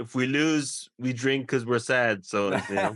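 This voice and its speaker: Speaking with an Irish accent, a man talks at a moderate pace with ordinary pitch variation. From Ireland. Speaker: English teacher. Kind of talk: casual conversation.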